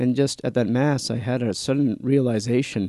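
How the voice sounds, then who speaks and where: A man's medium-pitched voice, dark and mellow in tone, with ordinary pitch variation at a moderate pace. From New Orleans, Louisiana. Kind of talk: interview testimony.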